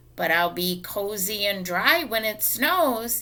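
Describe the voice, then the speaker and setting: Someone puts on a raspy character voice and speaks at a fairly slow pace. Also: woman, medium pitch for a woman. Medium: read story. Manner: proud, insistent.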